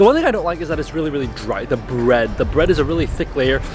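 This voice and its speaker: Music runs in the background while a man talks. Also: dry sound with no echo. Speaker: food vlogger. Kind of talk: casual vlog chat. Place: street. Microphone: phone near.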